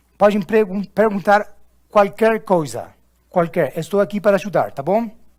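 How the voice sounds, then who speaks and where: A high-pitched man with an Argentine accent at a moderate pace, ordinary pitch variation, on a very clean recording with a silent background. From Argentina. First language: Spanish (speaking Portuguese). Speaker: corporate trainer. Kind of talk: training session. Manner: halting.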